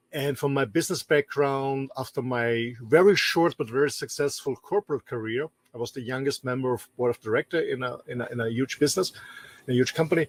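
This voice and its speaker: With an Austrian accent, a man talks at a fairly quick pace and a fairly high pitch, with ordinary pitch variation and a dry, close sound with no echo. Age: 50s. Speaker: business trainer and show co-host. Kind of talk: self-introduction. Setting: in a motorhome. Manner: halting, repeats words.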